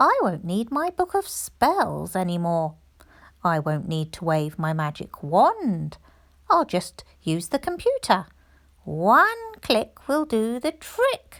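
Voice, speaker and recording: The speaker moves at a fairly slow pace. The voice is a put-on character voice. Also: woman, medium pitch for a woman. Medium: read story.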